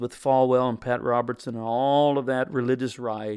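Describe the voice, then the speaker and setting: This man has an ordinary speaking voice, medium in pitch, with an American accent. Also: very clean recording, silent background. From US Midwest, Missouri. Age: 60s. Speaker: pastor. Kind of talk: interview conversation.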